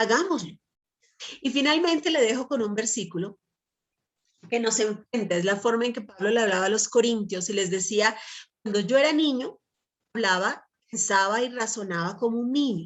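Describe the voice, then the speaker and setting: Long, frequent pauses break up the fairly high voice of a woman speaking with a Colombian accent. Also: lively intonation, moderate pace. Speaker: Bible teacher. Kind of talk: sermon.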